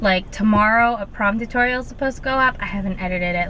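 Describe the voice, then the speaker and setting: A woman talks at a fairly quick pace in a medium pitch with ordinary pitch variation. Noticeable background noise sits behind her. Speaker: beauty and lifestyle vlogger. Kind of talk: casual vlog. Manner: chatty, informal.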